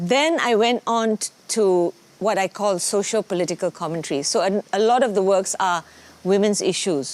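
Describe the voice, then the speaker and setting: With an ordinary speaking voice at medium pitch, a woman speaks at a fairly slow pace with ordinary pitch variation in a dry, close sound with no echo. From Malaysia. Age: 60s. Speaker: dancer and choreographer. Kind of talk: interview talk.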